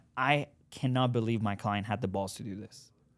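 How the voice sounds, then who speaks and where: A man speaks at a moderate pace in a fairly low voice with fairly even intonation, captured in a very clean recording against a silent background. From Iran. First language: Farsi. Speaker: real estate buyer's agent. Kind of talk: casual interview chat.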